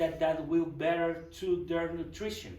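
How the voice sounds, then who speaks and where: Monotone, flat delivery from a man with a high pitch, plus audible room echo. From Guatemala. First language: Spanish. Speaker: project manager. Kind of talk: presentation. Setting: church forum with audience. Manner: halting.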